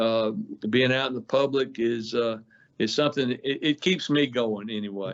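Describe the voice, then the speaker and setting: A man with a Mississippi accent, fairly even intonation and a moderate pace. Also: medium pitch for a man. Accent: US Southern (Mississippi). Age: 70s. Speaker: outdoor industry businessman, gun shop owner. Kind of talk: radio interview. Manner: halting, many fillers.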